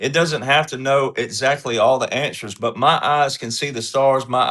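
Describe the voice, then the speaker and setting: Against a quiet background, a man with a Southern US accent talks at a moderate pace with hardly any pauses, his medium-pitched voice bright and sharp in tone. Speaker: panelist on a political commentary show. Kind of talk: panel discussion. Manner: casual folksy storytelling.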